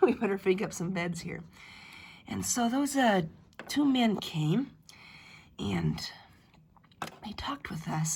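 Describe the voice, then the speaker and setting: With lively intonation, a woman speaks at a medium pitch and a fairly slow pace. Vocal fry colors her voice. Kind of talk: family history told in first person as an ancestor. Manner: casual, hesitant.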